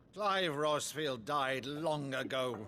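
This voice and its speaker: Doing a put-on character voice, a man sounds raspy at a fairly high pitch. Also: ordinary pitch variation. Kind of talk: mock-Shakespearean stage acting. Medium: video game.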